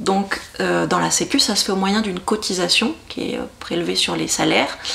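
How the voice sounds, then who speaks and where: A woman talks at a fairly slow pace and medium pitch, with noticeable background noise behind her. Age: 30s. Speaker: local councillor. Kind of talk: interview. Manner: hesitant, many fillers.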